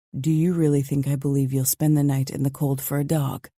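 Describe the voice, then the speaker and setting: This is a put-on character voice, raspy and low-to-middle in pitch. It moves at a fairly quick pace with monotone, flat intonation. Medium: read story. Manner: clipped, authoritative.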